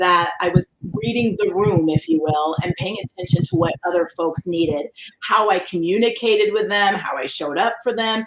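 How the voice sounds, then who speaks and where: With an American accent, a woman speaks at a medium pitch with lively intonation. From Colorado. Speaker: leadership facilitator and keynote speaker. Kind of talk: interview. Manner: loud, boisterous.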